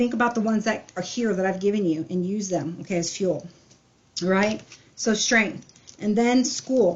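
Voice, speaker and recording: In a normal speaking voice, a woman with a fairly high pitch talks at a moderate pace with ordinary pitch variation. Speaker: tarot reader. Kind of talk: tarot reading.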